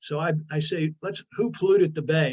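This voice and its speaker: Somewhat breathy male voice with a fairly high pitch, dry and close with no echo. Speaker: former politician and environmental speaker. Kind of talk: lecture. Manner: fast.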